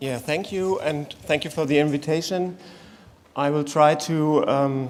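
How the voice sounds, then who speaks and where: With a German accent, a man speaks slowly and fairly evenly. His pitch is fairly high, and room echo is audible. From Germany. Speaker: conference panelist. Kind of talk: conference presentation. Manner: halting.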